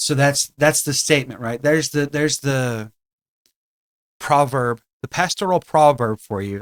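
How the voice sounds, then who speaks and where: A man with a Southern US accent and a fairly high pitch speaks at a fairly slow pace with long, frequent pauses and ordinary pitch variation, in a dry, close sound with no echo. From US South. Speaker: podcast co-host, pastor. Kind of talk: casual chat.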